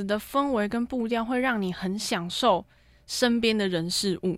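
The speaker is a woman with lively intonation. Her tempo is moderate. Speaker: university journalism student. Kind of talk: casual interview chat. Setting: studio. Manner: clear, precise enunciation; steady, mature-sounding.

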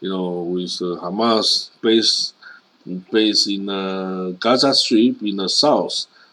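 This man has a fairly low pitch and speaks with a Chinese accent. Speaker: news commentator. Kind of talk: news commentary monologue. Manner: many filler particles, halting.

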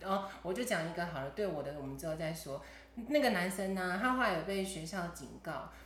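Amid noticeable background noise and audible room echo, a woman with a fairly low pitch speaks at a fairly quick pace with lively intonation. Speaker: podcast host. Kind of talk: casual chat.

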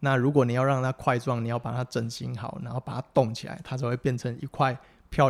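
A man with a Taiwanese accent at medium pitch, very fast pace and fairly even intonation, in a very clean recording with a silent background. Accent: Taiwanese Mandarin. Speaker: physical therapist. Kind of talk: casual interview.

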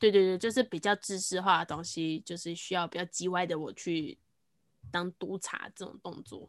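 A woman talks at a moderate pace in a fairly low pitch, her intonation fairly even but her loudness swinging widely, in an ordinary speaking voice. The sound is dry and close with no echo, and the recording is very clean over a silent background. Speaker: podcaster and trainer. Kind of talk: casual chat. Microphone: new microphone.

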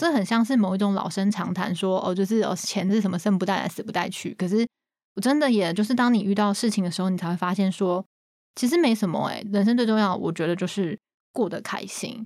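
Talking at a very fast pace, a woman has a medium pitch. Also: ordinary pitch variation. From Taiwan. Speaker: marketing project manager. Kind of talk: interview.

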